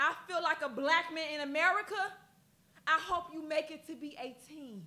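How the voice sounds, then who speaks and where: A woman's bright, sharp, raised and projected voice at a fairly slow pace, with ordinary pitch variation. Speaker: spoken word poet. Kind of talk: poetry performance. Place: studio.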